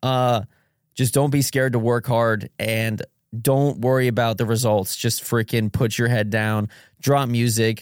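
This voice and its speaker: A man's flat, monotone delivery at medium pitch and a fairly slow pace, with very even loudness and a dry, close sound with no echo on a very clean recording over a silent background. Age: 20s. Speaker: musician. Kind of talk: casual chat.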